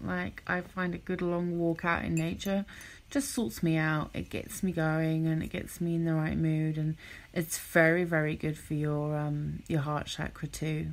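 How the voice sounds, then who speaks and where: On a very clean recording with a silent background, a woman with a slight cockney accent speaks fairly slowly in a very deep, low pitch with fairly even intonation. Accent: slight cockney, London English. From London, England (council estate on outskirts). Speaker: podcast host, self-love and wellness coach. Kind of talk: motivational podcast monologue. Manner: relaxed, conversational.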